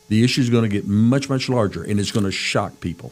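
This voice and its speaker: Over noticeable background noise, a man speaks at a moderate pace with a medium pitch. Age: 70s. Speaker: radio host. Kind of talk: talk radio discussion.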